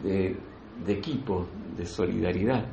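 A man's somewhat breathy voice carries audible echo from the room. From Argentina, Buenos Aires province countryside. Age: 60s. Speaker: spiritual teacher, breathwork facilitator. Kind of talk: spiritual talk to a group. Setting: in-person gathering in Granada. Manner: halting, repetitive.

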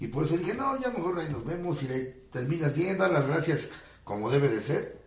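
Amid noticeable background noise and audible room echo, a man talks at a fairly quick pace and fairly high pitch with very wide pitch swings. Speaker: sonidero announcer. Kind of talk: casual interview chat.

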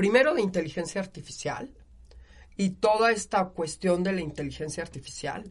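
A woman with a Mexican accent speaks in an animated tone at a medium pitch. Her intonation is lively. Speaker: university lecturer. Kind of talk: interview. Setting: studio.

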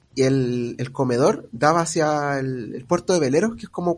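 In a Chilean accent, a man talks with lively intonation and big swings in loudness. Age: 30s. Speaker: podcast co-host. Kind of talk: casual chat.

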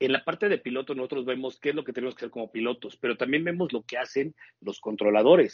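Talking at a very fast pace, a man speaks at a medium pitch. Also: ordinary pitch variation. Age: 40s. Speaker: airline pilot. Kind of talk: interview.

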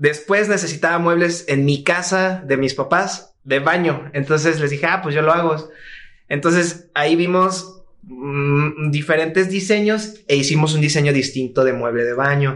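With a Mexican accent, a man talks at a fairly slow pace in a fairly high pitch with ordinary pitch variation. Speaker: furniture designer. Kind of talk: casual chat.

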